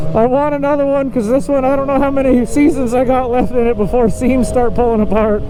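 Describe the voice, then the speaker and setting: A man at an extremely high pitch and very fast pace, hardly any pauses, very even loudness, fairly even intonation, audible room echo and noticeable background noise. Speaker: snowmobile vlogger. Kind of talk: casual vlog commentary while riding. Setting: outdoors on a snowmobile.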